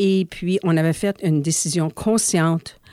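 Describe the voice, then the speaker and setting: The voice has a dark, mellow tone with ordinary pitch variation. The recording is very clean, dry and close, with a silent background and no echo. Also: woman. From Manitoba, Canada (Saint-Pierre). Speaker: former association executive director. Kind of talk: interview.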